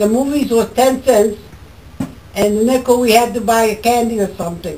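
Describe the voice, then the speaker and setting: At a fairly high pitch and moderate pace, a woman talks with fairly even intonation over noticeable background noise. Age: 80s+. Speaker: former farm girl and mill worker. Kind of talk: interview answer. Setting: outdoors.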